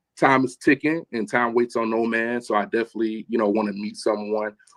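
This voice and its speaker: The sound is dry and close with no echo as a man of medium pitch speaks at a moderate pace with ordinary pitch variation. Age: 30s. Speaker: speed dating contestant. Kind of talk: casual chat. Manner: halting.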